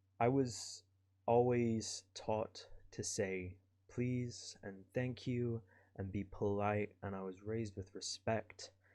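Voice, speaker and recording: Against a quiet background, a man with a Kerry accent talks at a very slow pace in a monotone, flat intonation. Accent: Irish (Kerry). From southwest Ireland, County Kerry. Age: 20s. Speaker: podcaster. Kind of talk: casual monologue.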